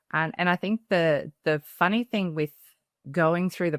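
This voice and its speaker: Speaking with an Australian accent, a woman keeps a moderate pace. The recording is very clean with a silent background, and the sound is dry and close with no echo. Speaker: parenting educator, mother of three. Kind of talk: podcast interview.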